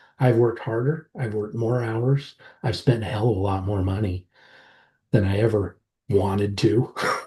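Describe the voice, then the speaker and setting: A man speaks at a moderate pace in a fairly low, somewhat breathy voice. His tone is dark and mellow over a quiet background. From southwestern Colorado, rural. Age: 50s. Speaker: startup founder. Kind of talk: podcast interview. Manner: animated.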